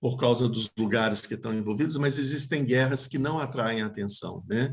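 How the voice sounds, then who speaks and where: A man talks at a moderate pace and medium pitch, somewhat breathy, with fairly even intonation. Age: 60s. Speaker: Buddhist teacher. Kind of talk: dharma talk Q&A. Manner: halting.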